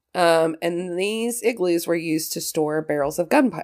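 Speaking with a West Virginia accent, a woman with a fairly low pitch sounds animated at a moderate pace, with ordinary pitch variation, on a very clean recording with a silent background. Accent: Appalachian West Virginia, noticeable. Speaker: podcast host. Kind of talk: casual chat. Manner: animated, excitable, laughs often.

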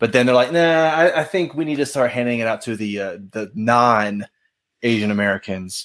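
This man has a normal speaking voice, talking at a moderate pace with medium pitch and lively intonation. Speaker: podcast co-host guest. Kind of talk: casual conversation.

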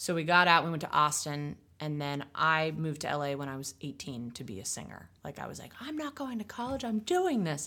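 A woman with a very deep, low pitch and a bright, sharp tone talks at a fairly quick pace with hardly any pauses, lively intonation and big swings in loudness. The recording is very clean, with a silent background. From Maine. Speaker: singer-songwriter. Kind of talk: casual chat.

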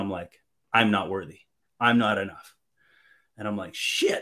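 On a very clean recording with a silent background, a man with a Canadian accent speaks at a very fast pace. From Canada (French Canadian). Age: 30s. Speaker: podcast guest. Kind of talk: casual chat.

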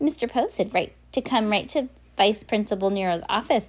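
A female-sounding, put-on character voice, shrill and fairly high in pitch. It moves at a moderate pace. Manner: mocking.

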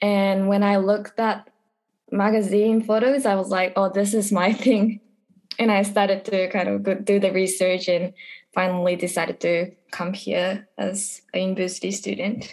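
In a Japanese accent, a woman speaks at a medium pitch and a moderate pace with monotone, flat intonation. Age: 20s. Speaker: college student. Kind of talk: casual interview.

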